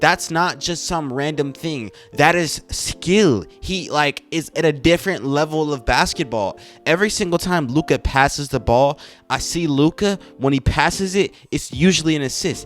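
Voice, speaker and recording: Over music in the background, a man speaks at a moderate pace in an animated tone, with a fairly high pitch and ordinary pitch variation. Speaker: basketball commentator, youtuber. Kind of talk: casual monologue.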